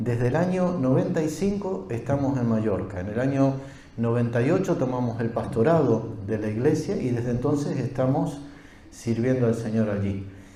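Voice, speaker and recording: In an Argentine accent, a man of medium pitch speaks at a fairly slow pace with lively intonation, amid audible room echo and noticeable background noise. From Argentina. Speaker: pastor. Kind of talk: sermon.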